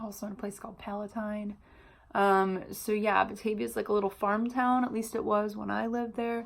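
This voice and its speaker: Speaking with a Californian accent, a woman uses a fairly high pitch and monotone, flat intonation at a fairly quick pace. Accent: some California vocal fry. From US Midwest, Illinois (Chicago suburbs). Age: 30s. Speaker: vlogger and hairstylist. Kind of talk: casual vlog introduction. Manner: many filler words.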